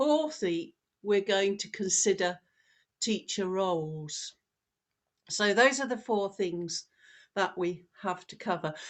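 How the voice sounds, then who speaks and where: Over a quiet background, a woman with a British accent and a medium-pitched voice speaks at a very slow pace with long, frequent pauses and ordinary pitch variation. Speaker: professor. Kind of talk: lecture.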